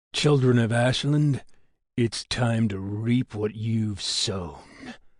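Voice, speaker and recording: At a very slow pace, a man growls through a put-on character voice set at a medium pitch. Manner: menacing growl.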